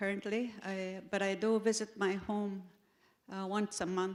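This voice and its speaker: A woman speaks in a medium pitch at a fairly slow pace. Her intonation is monotone and flat. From northwestern Ontario First Nations. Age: 70s. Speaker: traditional counselor. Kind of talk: panel discussion. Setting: conference stage with audience. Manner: halting, many fillers.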